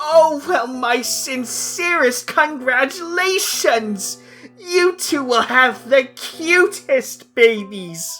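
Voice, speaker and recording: Speaking very slowly in a put-on character voice, a man talks as faint music plays in the background. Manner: theatrical, mock-polite.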